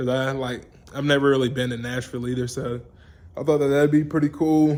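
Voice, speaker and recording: In an Alabama accent, a man speaks shakily at a medium pitch with monotone, flat intonation. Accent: Southern US (Alabama). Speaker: vlogger, truck enthusiast. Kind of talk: casual vlog update. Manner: halting, filler-heavy; shaky voice.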